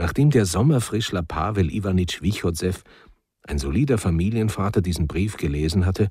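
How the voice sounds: Quiet surrounds the speaker. The reading voice is natural.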